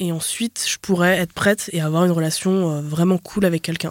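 A woman speaks with a plain, everyday voice, fairly low in pitch, at a fairly quick pace with fairly even intonation. The recording is very clean and dry, close with no echo, and the background is silent. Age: 20s. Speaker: podcast guest. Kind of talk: casual chat.

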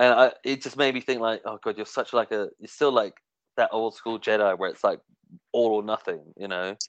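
Moderate pace with big swings in loudness, against a quiet background in a dry, close sound with no echo. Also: man. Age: 30s. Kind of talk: casual chat. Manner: halting.

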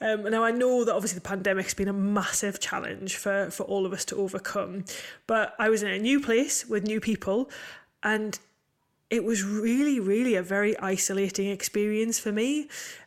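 A woman with a northeast English accent, medium-pitched and fairly even in intonation, at a moderate pace on a very clean recording with a silent background. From northeast England. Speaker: podcast co-host, land agent. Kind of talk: casual chat.

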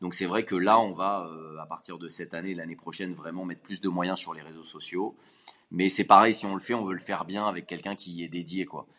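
Speaking at a fairly quick pace, a man with a very deep, low pitch keeps a monotone, flat intonation while his loudness swings widely. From Paris region, France. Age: 30s. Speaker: business founder. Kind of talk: interview.

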